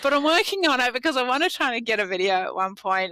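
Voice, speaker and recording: Over noticeable background noise, a woman with an Australian accent projects a raised, high-pitched voice at a fairly quick pace, her pitch swinging very widely. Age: 60s. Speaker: lawyer. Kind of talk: podcast interview answer.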